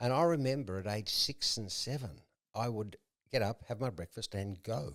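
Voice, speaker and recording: In an Australian accent, a man talks with lively intonation. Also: medium pitch for a man, moderate pace. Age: 60s. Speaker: entrepreneur in recovery. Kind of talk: casual chat.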